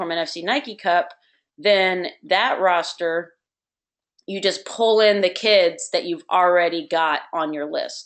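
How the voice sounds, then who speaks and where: A woman speaks at a fairly slow pace, her medium pitch moving with ordinary variation. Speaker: youth soccer club director. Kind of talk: online meeting with screen-share tutorial. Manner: hesitant, many fillers.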